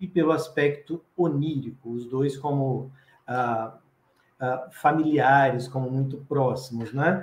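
The voice is somewhat breathy and moves at a fairly slow pace. Audible room echo surrounds it. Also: man. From Brazil, Espírito Santo. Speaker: professor and children's author, storyteller; professor, storyteller. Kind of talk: lecture-style interview. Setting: online live stream. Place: home room. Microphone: video call.

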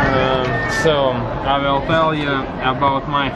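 A man speaks. Loud background noise runs behind him. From Latvia. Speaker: guest vlogger. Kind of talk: casual vlog talk to camera. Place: cafe. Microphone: phone near.

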